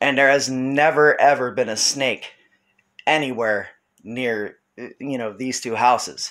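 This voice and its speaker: Over a quiet background, a man speaks at a fairly slow pace with fairly even intonation. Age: 30s. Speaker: video blogger recounting paranormal experiences. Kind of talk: casual video message. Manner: halting, with many fillers. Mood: earnest, explaining. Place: home room. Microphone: phone near.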